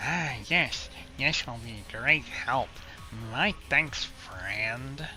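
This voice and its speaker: A man does a put-on character voice that is guttural and strained, speaking at a very slow pace. Music plays in the background. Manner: grateful.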